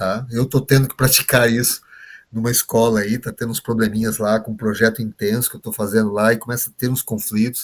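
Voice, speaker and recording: A man with an unremarkable speaking voice, moderate pace and fairly even intonation. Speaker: trainer teaching behavioral profiles. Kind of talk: online workshop lecture.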